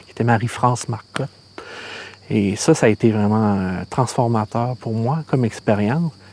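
A man with a Quebec accent and ordinary pitch variation, amid noticeable background noise. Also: medium pitch for a man, moderate pace, big swings in loudness. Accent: Québécois French. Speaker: filmmaker. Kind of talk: casual chat.

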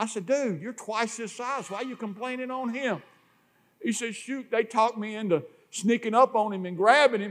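A man with a Southern US accent talks at a moderate pace in an extremely high voice. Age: 60s. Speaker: preacher. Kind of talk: sermon. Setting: church.

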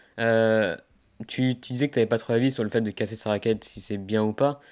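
In a very clean recording with a silent background, a man of medium pitch talks at a fairly quick pace. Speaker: tennis podcast host. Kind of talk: casual interview. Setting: outdoors for the intro. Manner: hesitant with fillers.

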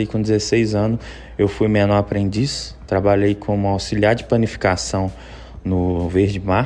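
Against noticeable background noise, a man with a fairly low pitch speaks at a fairly slow pace with lively intonation. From Belo Horizonte, Minas Gerais, Brazil. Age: 30s. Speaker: personal trainer. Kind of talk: interview. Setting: remote connection.

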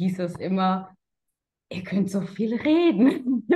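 Somewhat breathy tones come through. They belong to a woman. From Germany, Karlsruhe. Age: 30s. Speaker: sales consultant. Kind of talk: interview.

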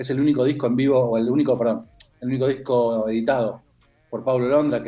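This man's voice has a dark, mellow tone and medium pitch. He speaks at a fairly quick pace with fairly even intonation. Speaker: music columnist. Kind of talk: radio music column.

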